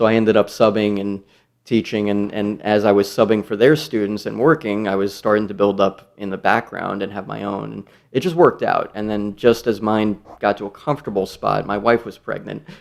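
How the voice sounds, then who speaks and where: A man in a New York accent speaks at a fairly quick pace with a fairly low pitch and fairly even intonation. His loudness swings widely, on a very clean recording with a silent background. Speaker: guitarist and music teacher. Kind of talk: casual interview chat.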